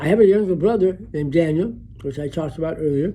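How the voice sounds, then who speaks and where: A man with an American accent talks at a fairly quick pace in a dark, mellow tone. His intonation is lively. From US Midwest, Chicago west side. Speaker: memoirist. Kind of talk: personal memoir narration.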